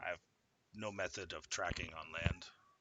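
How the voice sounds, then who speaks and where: In a put-on character voice, a man speaks at a moderate pace with a raspy, very deep, low pitch. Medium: actual play.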